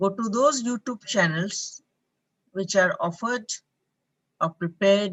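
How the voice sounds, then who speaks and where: A woman's medium-pitched voice with lively intonation, at a very slow pace. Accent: Indian. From India. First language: an Indian language. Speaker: professor. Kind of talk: online lecture Q&A. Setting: live online session.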